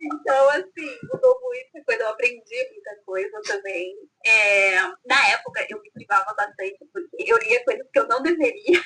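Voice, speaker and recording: Raised and projected, the voice moves at a moderate pace with big swings in loudness and very wide pitch swings. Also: woman, high pitch for a woman. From France (Provence). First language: French (speaking Portuguese). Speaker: author. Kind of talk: casual interview.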